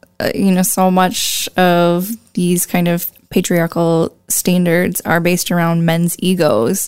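A woman's medium-pitched voice with an American accent. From US Midwest, La Crosse, Wisconsin. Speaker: visual artist and graphic designer. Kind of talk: interview conversation.

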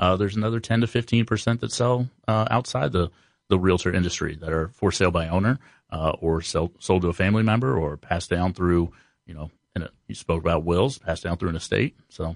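A man with an American accent speaks in a very deep, low pitch. His pace is fairly quick, against a quiet background. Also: ordinary pitch variation, dry, close sound with no echo. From US Midwest (Columbus, Ohio). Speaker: real estate agent. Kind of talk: casual radio interview.

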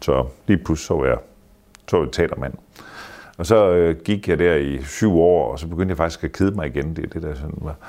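Very deep and low in pitch, this man's voice has a dark, mellow tone with vocal fry, ordinary pitch variation and a moderate pace. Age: 60s. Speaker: theatre manager and artist manager. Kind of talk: casual interview. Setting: hotel. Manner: halting.

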